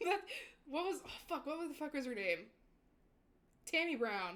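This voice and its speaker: A woman is speaking. Her pitch swings very widely. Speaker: VTuber streamer. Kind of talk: casual chat. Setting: live stream. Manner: animated.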